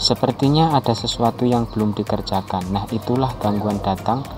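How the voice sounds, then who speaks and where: With music in the background, a man with a strong Javanese accent speaks at a moderate pace and medium pitch, his intonation fairly even. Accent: thick Javanese accent in Indonesian. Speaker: amateur writer. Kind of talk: personal monologue reading own writing.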